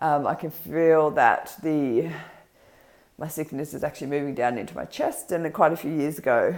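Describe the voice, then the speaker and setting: Speaking in an Australian accent, a woman uses a very deep, low pitch, a moderate pace and fairly even intonation. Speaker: vlogger. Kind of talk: casual vlog. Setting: home kitchen. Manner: hesitant, many ums.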